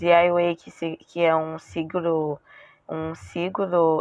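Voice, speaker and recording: A woman with a French accent speaks very slowly at a fairly low pitch. The sound is dry and close, with no echo. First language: French (speaking Portuguese). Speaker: beauty and weight-loss vlogger. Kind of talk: casual vlog talk. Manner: halting, with self-corrections.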